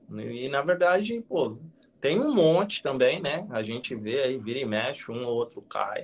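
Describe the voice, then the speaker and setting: A man speaks at a fairly high pitch and a fairly slow pace, with very wide pitch swings. Noticeable background noise runs underneath. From interior of São Paulo state, Brazil (Penápolis). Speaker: retired elite marathon runner, running coach. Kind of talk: live-stream interview. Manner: talkative, long chained sentences; hesitant repetitions.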